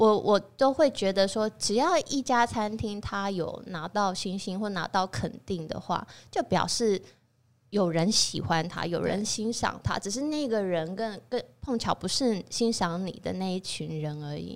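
Using a normal speaking voice, a woman talks at a fairly slow pace and medium pitch. Her intonation is lively. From Taiwan. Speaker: chef and restaurant owner. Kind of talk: casual interview chat.

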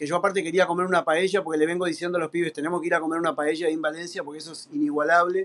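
This man has a high pitch. He speaks in an Argentine accent. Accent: Rioplatense Argentine Spanish. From Argentina. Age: 50s. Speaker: professional drummer. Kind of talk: casual interview chat.

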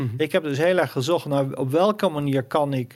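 Here is a man with an ordinary speaking voice, pitched fairly high with ordinary pitch variation. He moves at a fairly quick pace in a very clean recording with a silent background. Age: 50s. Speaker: financial commentator and author. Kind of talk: interview.

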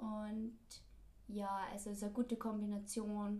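Woman at medium pitch, very slow and monotone with flat intonation, amid noticeable background noise and audible room echo. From Austria, Linz. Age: 20s. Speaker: podcast host, former au pair, student. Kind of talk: casual chat.

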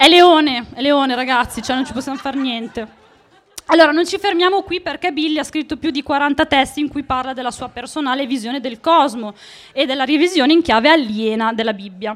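Over crowd noise in the background, a woman talks at a fairly quick pace in an animated tone, her high pitch showing ordinary variation. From northern Italy, Emilia (Monticelli). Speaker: podcast host. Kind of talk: live storytelling to audience. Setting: stage with audience.

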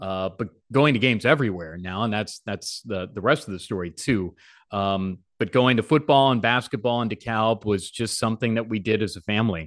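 With an unremarkable speaking voice and an American accent, a man talks fairly quickly at a fairly low pitch, his pitch varying in an ordinary way, over a quiet background. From Chicago suburbs, Illinois. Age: 40s. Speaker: sports play-by-play broadcaster. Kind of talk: casual interview.

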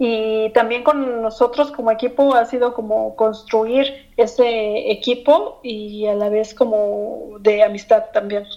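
At a very slow pace yet with hardly any pauses, a woman with a fairly high pitch speaks using fairly even intonation. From Mexico. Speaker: employee of the guest's company. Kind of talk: interview.

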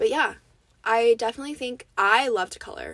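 A woman's fairly high voice with lively intonation, in a very clean recording against a silent background. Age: young. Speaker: podcast host. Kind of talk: casual chat. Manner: animated.

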